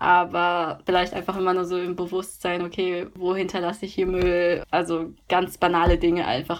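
The delivery has hardly any pauses and a moderate pace, with monotone, flat intonation. The recording is very clean, with a silent background. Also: woman, fairly low pitch for a woman. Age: 20s. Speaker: university student. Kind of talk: casual interview. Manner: filler-heavy (ähm, also).

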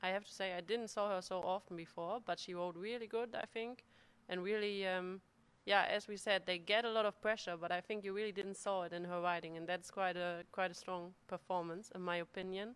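Fairly quick and fairly even in intonation, a woman speaks at medium pitch in a plain, everyday voice. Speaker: show jumping rider. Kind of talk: casual chat.

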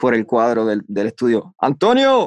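Here a man speaks at a medium pitch. The sound is dry and close, with no echo. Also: very clean recording, silent background. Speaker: voice-over artist. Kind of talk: interview.

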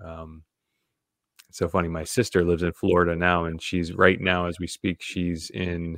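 Monotone, flat intonation on a very clean recording with a silent background. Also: man, very deep, low pitch for a man, moderate pace, dry, close sound with no echo. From New England. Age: 30s. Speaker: podcast co-host. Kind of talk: casual chat.

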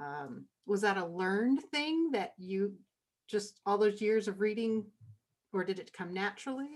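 With a plain, everyday voice, a woman of medium pitch speaks at a fairly slow pace and with lively intonation. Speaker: podcast co-host interviewer. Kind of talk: casual interview chat.

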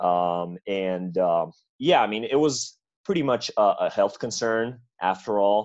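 Against a quiet background, a man with a Serbian accent speaks at a fairly slow pace with lively intonation. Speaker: college basketball player. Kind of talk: casual interview chat. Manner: halting, many fillers.

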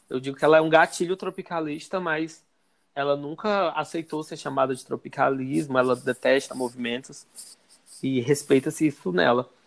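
A plain, everyday voice from a man, fairly high in pitch, at a moderate pace with ordinary pitch variation. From Ceará, Brazil. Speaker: arts student and social media content creator. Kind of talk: casual interview.

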